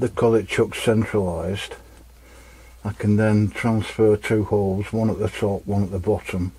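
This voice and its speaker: A man's fairly low, somewhat breathy voice, dark and mellow, with monotone, flat intonation at a fairly slow pace. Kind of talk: tutorial. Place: workshop. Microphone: camera far.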